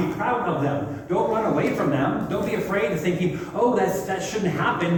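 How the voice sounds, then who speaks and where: Loud and passionate, a man shouts at a high pitch with lively intonation and a moderate pace, amid audible room echo and noticeable background noise. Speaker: pastor leading a church seminar. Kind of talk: seminar talk to congregation. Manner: loud and passionate, sounds like yelling.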